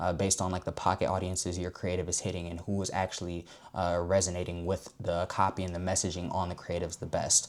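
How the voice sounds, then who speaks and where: On a very clean recording with a silent background, a man talks at a very fast pace in a very deep, low pitch. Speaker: marketing agency founder, online ad educator. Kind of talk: tutorial. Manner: casual, fillers and self-repeats.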